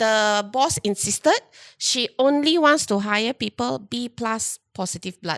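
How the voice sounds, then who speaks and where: A woman with a Malaysian accent speaks fairly slowly in a fairly high pitch with lively intonation. The sound is dry and close with no echo, a very clean recording with a silent background. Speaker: HR recruiter hosting a chat show. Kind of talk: casual chat. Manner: loud; animated.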